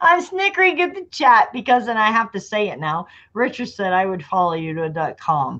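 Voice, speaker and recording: Against a quiet background, a woman talks at a fairly quick pace in a bright, sharp, animated tone. Her pitch takes very wide swings. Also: fairly high pitch for a woman. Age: 30s. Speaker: live stream host. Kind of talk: casual chat.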